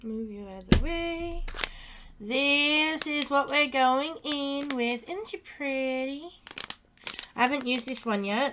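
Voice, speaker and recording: Over noticeable background noise, a woman speaks very slowly with long, frequent pauses. Her pitch varies in an ordinary way, while her loudness swings widely. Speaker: craft tutorial youtuber. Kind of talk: tutorial. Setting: live stream. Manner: halting, many fillers.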